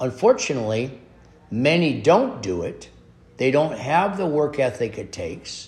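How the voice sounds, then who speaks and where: At a very slow pace, a man speaks with medium pitch, a somewhat breathy voice and lively intonation. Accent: Upper Midwest. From US Midwest, North Dakota. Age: 70s. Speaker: podcast host, motivational speaker. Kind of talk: motivational monologue.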